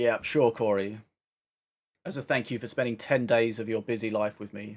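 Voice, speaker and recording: A man with a British accent talks at a moderate pace in a medium pitch, his loudness swinging widely. The recording is very clean, with a silent background. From Britain. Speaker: game streamer. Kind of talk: casual live stream chat. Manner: animated.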